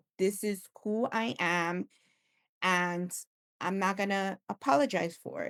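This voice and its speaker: A woman speaks with a Spanish accent at a medium pitch and fairly even intonation. The sound is dry and close with no echo, in a very clean recording with a silent background. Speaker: tech executive. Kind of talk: podcast interview.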